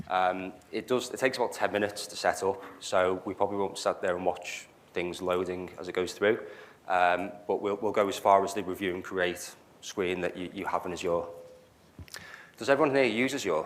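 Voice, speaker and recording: A fairly low-pitched man with a Liverpool accent, fairly quick, with ordinary pitch variation. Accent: Liverpool (Scouse). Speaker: cloud solutions architect, meetup speaker. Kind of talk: technical talk. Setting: meetup venue with live audience. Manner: hesitant, many fillers.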